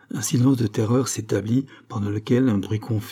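Natural-sounding reading aloud.

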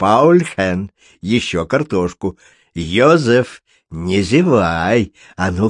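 The voice reads naturally. Nothing can be heard behind it.

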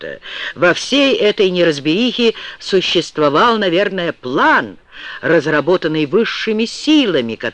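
In an unforced reading voice, the speaker uses lively intonation.

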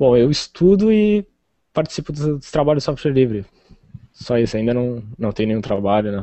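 At a moderate pace, a man with a medium pitch speaks with very wide pitch swings. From southern Rio Grande do Sul, Brazil (Rio Grande). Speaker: computer science student and open-source contributor. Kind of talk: interview.

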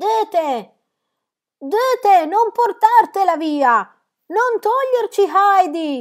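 In a put-on character voice, a female-sounding speaker shouts at an extremely high, squeaky pitch, going very slowly with long, frequent pauses. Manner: shouting pleadingly.

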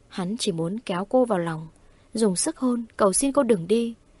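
Just a natural reading voice

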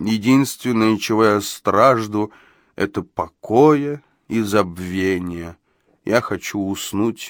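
Quiet background behind a natural reading voice

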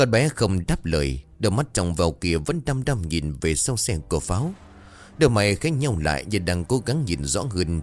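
A text is read aloud in a natural voice.

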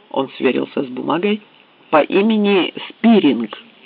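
Here is an unforced reading voice. It carries the text from start to finish.

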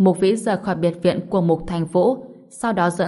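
Simply an unforced reading voice

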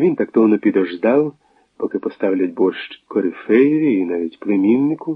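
Plain reading aloud with lively intonation, over a quiet background.

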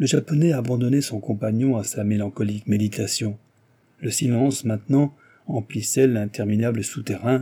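A natural voice reading a text aloud

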